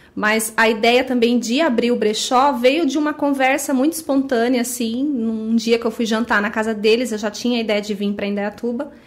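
Over noticeable background noise, a woman talks at a moderate pace with fairly even intonation and hardly any pauses. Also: fairly high pitch for a woman. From Brazil, Guarulhos (São Paulo state). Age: 30s. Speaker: thrift store owner. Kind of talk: casual interview.

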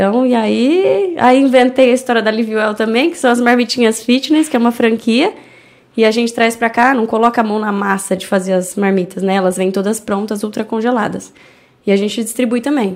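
A woman's fairly high voice, an ordinary speaking voice, at a fairly quick pace with ordinary pitch variation. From Brazil, Indaiatuba (São Paulo state). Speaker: entrepreneur and animal charity founder. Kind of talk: casual interview.

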